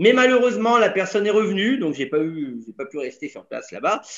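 With a quiet background, a man's voice comes through at a high pitch. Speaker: tour guide. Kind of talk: casual webinar talk. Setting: video call. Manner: jovial, humorous. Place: home room. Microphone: webcam.

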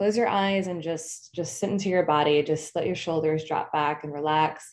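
A woman with a plain, everyday voice speaks at a fairly low pitch and a moderate pace, with ordinary pitch variation. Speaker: marketing speaker. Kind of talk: guided breathing meditation; webinar presentation. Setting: online summit session. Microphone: webcam.

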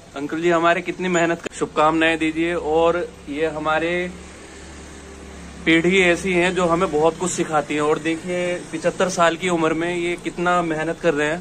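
At a moderate pace, a man speaks with a fairly high pitch and a fairly bright tone over faint background noise.

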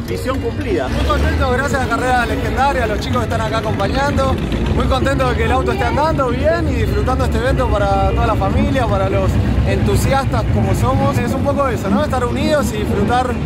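Loud music plays in the background as a man talks at a fairly quick pace in a dry sound with no echo. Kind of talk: interview answer. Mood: happy, relieved after race. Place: open country. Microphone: phone near.

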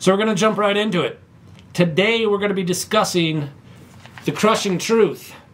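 A man talks at a moderate pace. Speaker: pastor. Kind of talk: casual Bible study introduction. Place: office. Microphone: camera far.

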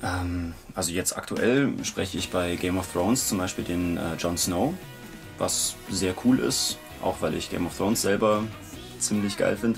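Clear music plays behind a man with a very deep, low pitch who speaks at a fairly slow pace with ordinary pitch variation. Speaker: voice actor. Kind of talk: interview answer. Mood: relaxed, casual. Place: booth.

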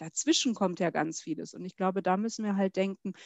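A woman speaks at a fairly quick pace with ordinary pitch variation. The background is quiet and the sound is dry with no echo. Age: 40s. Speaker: HR executive and association president; interview guest. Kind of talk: interview. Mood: friendly, smiling. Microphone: headset.

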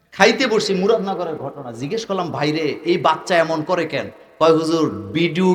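With an animated tone, a man speaks in a high voice amid audible room echo and noticeable background noise. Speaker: Islamic preacher. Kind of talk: sermon.

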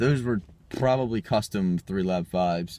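The sound is dry, with no echo. Pitch varies in an ordinary way. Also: man. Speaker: sneaker vlogger. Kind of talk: casual vlog chat. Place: car. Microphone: phone near.

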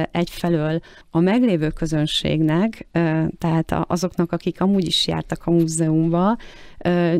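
In a fairly low, dark, mellow voice, a woman speaks at a fairly slow pace with fairly even intonation over a quiet background. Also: dry sound with no echo. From Hungary. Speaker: art collector and art consultant. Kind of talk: interview. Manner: halting, many repeated words. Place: studio.

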